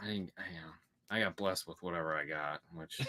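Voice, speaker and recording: A man with an American accent speaks very fast in a very deep, low voice with a bright, sharp tone and ordinary pitch variation. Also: dry, close sound with no echo. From United States.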